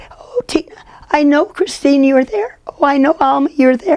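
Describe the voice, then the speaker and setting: A woman puts on a character voice, high-pitched with lively intonation at a moderate pace. Her loudness is very even, and the sound is dry and close with no echo. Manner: calling out, fussy.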